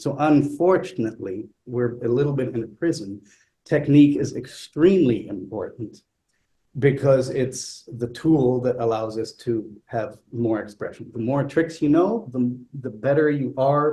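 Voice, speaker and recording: Here a man talks at a fairly slow pace with ordinary pitch variation. His tone is dark and mellow, and somewhat breathy. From Italy. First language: not English. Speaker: flutist. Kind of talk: panel conversation. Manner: hesitant, many fillers.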